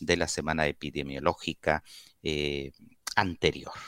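The recording is dry and close with no echo, and the man's tone is bright and sharp. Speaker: radio host. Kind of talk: call-in radio show.

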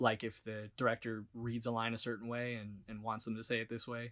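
A man's bright, sharp voice with an American accent on a very clean recording with a silent background. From US Midwest, Chicago area. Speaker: voice actor. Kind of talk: casual interview.

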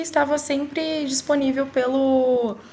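This is a woman speaking. Her pitch sits high. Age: young. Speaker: engineering student and tutor. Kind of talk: casual panel discussion.

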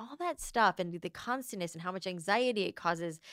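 A woman speaks with an American accent and lively intonation. Hers is a plain, everyday voice. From South Florida. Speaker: entrepreneur. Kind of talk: interview.

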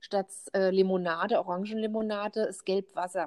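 A woman talks at a moderate pace in a dark, mellow tone. The sound is dry and close, with no echo. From Rheinhessen, Germany. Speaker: podcast co-host. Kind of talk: casual chat.

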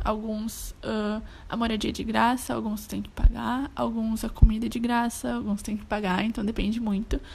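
A woman talks at a moderate pace with hardly any pauses and big swings in loudness. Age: 20s. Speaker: tourism student, former exchange worker. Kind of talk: casual interview chat.

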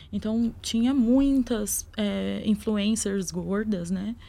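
In a very clean recording with a silent background, a woman's fairly high voice carries a dark, mellow tone. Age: 20s. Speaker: podcast guest. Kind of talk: casual chat.

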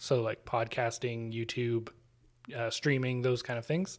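At a moderate pace, a man with a plain, everyday voice speaks at a medium pitch. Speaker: board game podcaster. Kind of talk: casual chat.

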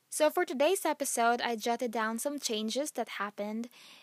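A woman with a Filipino accent, in a dry, close sound with no echo. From Philippines. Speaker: podcast host. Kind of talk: casual solo podcast monologue.

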